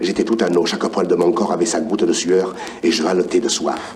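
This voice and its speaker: A man's moderate-paced speech comes with noticeable background noise. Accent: Provençal. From Provence. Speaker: actor. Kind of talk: story reading on record. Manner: warm.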